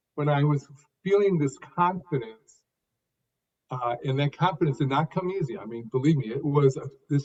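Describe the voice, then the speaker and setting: A man speaks at a moderate pace in a fairly high, somewhat breathy voice. His pitch varies in an ordinary way. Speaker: author and public speaker. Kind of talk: interview answer.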